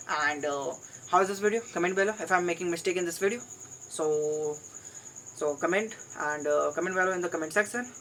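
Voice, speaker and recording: Fairly low-pitched speech from a woman at a fairly quick pace, with ordinary pitch variation and noticeable background noise. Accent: Indian. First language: Hindi. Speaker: English learner vlogger. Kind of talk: solo vlog monologue. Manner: halting, with repetitions.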